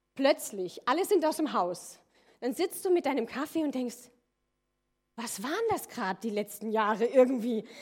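A high-pitched woman speaks at a fairly slow pace, with very wide pitch swings. Her speech has long, frequent pauses. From Rhineland-Palatinate, near Koblenz. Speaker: church leader, pastor's wife. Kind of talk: sermon.

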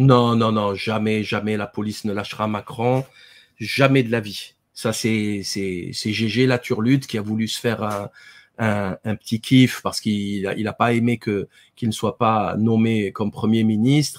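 At a fairly slow pace and fairly low pitch, a man speaks in a monotone, flat delivery on a very clean recording with a silent background. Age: 40s. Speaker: dentist and author. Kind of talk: interview. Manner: hesitant, many fillers and repetitions.

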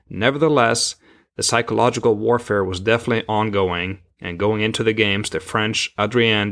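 A man's ordinary speaking voice, fairly low in pitch, fairly quick in pace and fairly even in intonation, in a very clean recording with a silent background. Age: 40s. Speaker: podcast host. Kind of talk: scripted narration.

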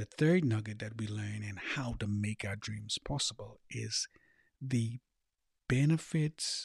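On a very clean recording with a silent background and a dry, close sound with no echo, a man speaks fairly slowly in a somewhat breathy, fairly low voice. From Bahamas (Eleuthera, schooling in Nassau). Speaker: life coach and podcast host. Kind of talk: motivational monologue.

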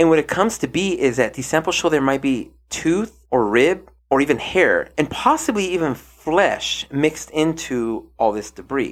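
With lively intonation, a man with an unremarkable speaking voice talks at a moderate pace in a fairly high pitch, recorded very cleanly against a silent background. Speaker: podcast host. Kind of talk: casual podcast chat reviewing a TV docuseries.

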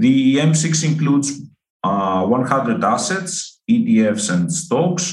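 Over music in the background and with audible room echo, a man with a Greek accent speaks at a very slow pace, his fairly high pitch making very wide swings. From Greece. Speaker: forecasting researcher. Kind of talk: interview. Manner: halting, many fillers.

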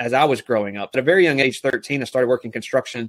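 A man's medium-pitched voice comes across dry and close, without any echo. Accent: Southern US. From US South, South Alabama. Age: young. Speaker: network marketing leader. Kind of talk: interview.

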